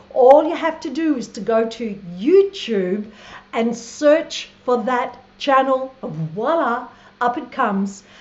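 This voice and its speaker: A woman with an Australian accent speaks very slowly in a high voice, her intonation lively. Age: 60s. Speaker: travel vlogger. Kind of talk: live stream monologue. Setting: live stream from Thailand. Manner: animated.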